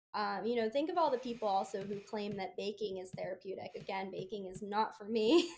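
A woman with an American accent talks at a fairly quick pace with hardly any pauses, using an ordinary speaking voice at a medium pitch with ordinary pitch variation and big swings in loudness. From US, Baltimore. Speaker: food blogger. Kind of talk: casual interview.

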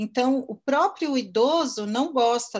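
A woman speaks in a normal speaking voice at a fairly slow pace with ordinary pitch variation, recorded very cleanly against a silent background. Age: 50s. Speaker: marketing entrepreneur. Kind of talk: interview.

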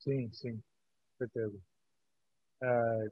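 A man speaks at a fairly slow pace. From Brazil. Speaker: podcast host. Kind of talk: interview. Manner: casual.

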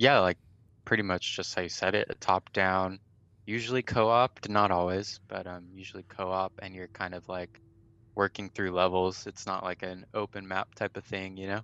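With an American accent, a man speaks at a moderate pace with a very deep, low pitch, a bright, sharp tone and monotone, flat intonation, his loudness swinging widely in a dry, close sound with no echo. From California, Riverside. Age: 20s. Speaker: gamer guest. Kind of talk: casual chat. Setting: video call.

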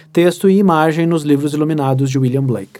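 Speaking with a dark, mellow tone, a man at a fairly high pitch and moderate pace uses ordinary pitch variation. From Rio Grande do Sul, Brazil (Santa Maria). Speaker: literature professor and writer. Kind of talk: casual interview chat. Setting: studio.

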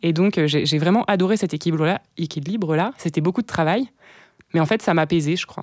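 A woman with a fairly low pitch and ordinary pitch variation talks at a moderate pace. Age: 20s. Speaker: community co-founder and author. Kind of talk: interview. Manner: hesitant.

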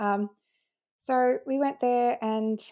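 This woman speaks with an Australian accent and ordinary pitch variation, on a very clean recording with a silent background. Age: 20s. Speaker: mother expecting triplets. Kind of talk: casual interview.

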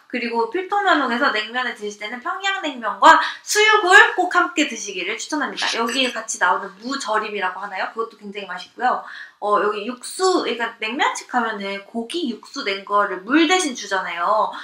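A woman's high-pitched voice with very wide pitch swings, a fairly quick pace and hardly any pauses, over noticeable background noise. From Seoul, South Korea. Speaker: guest. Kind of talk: casual chat. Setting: live audio chat room with listeners.

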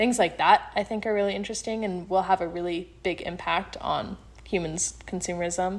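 This is a woman with a plain, everyday voice. She speaks at a moderate pace and a medium pitch. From Colorado, US (Fort Collins). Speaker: university student and podcast editor. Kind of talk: interview.

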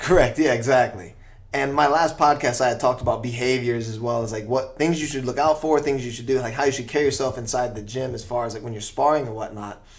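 Talking at a very fast pace with hardly any pauses, a man with an American accent keeps a medium pitch and ordinary pitch variation. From US East Coast. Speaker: podcast host. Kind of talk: casual interview.

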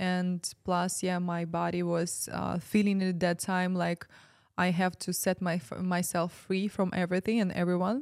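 A woman with a Ukrainian accent, fairly low pitched with monotone, flat intonation, on a very clean recording with a silent background. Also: fairly slow pace. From Ukraine. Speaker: spiritual ceremony facilitator. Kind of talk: casual chat.

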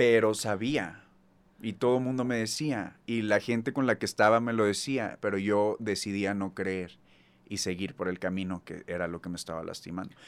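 Using a normal speaking voice, a man talks at a moderate pace and fairly low pitch with ordinary pitch variation. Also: very clean recording, silent background. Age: 30s. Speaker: singer. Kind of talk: casual chat.

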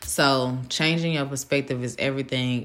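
A woman speaks in a very deep, low voice. Her pace is fairly slow. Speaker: solo podcaster sharing faith-based reflections. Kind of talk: casual solo monologue, devotional talk. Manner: laughs often, informal.

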